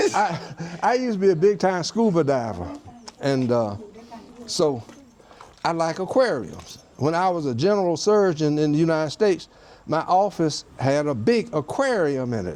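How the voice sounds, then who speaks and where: In an American accent, a man with a fairly high pitch talks in very wide pitch swings, leaving long, frequent pauses over noticeable background noise. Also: moderate pace. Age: 70s. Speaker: retired surgeon. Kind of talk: casual home tour chat.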